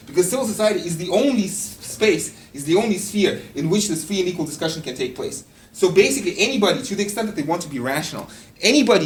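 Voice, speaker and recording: Noticeable background noise accompanies very fast speech. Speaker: philosophy lecturer. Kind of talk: lecture. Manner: halting, many fillers and repetitions.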